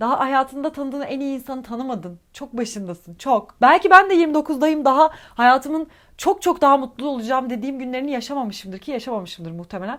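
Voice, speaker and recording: Animated, lively speech with big swings in loudness and hardly any pauses, on a very clean recording with a silent background. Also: woman, high pitch for a woman, fairly quick pace. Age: 20s. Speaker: YouTuber and English teacher. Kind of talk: casual advice chat answering viewer questions.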